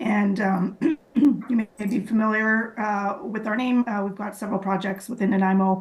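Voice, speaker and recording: A woman's medium-pitched voice at a moderate pace, over noticeable background noise. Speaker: property developer representative. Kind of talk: public meeting presentation. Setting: remote call into meeting. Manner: hesitant, many fillers.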